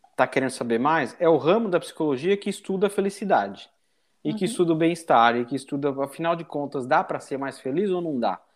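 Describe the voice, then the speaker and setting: A man talks at a fairly quick pace in an ordinary speaking voice, pitched fairly high. His intonation is lively, and the very clean recording has a silent background. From Brazil, São Paulo. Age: 40s. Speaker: business executive. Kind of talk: casual interview chat.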